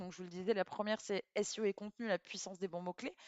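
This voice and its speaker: A woman's voice at a medium pitch. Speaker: SEO agency founder, live stream host. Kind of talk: live stream talk to chat. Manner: casual, with frequent fillers; upbeat and energetic.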